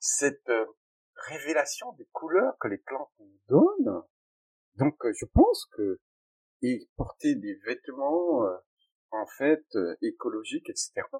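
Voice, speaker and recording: Recorded dry and close with no echo, a man speaks at a very slow pace with long, frequent pauses and big swings in loudness. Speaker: pharmacist and plant-dye entrepreneur. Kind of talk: interview. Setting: recording studio. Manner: animated.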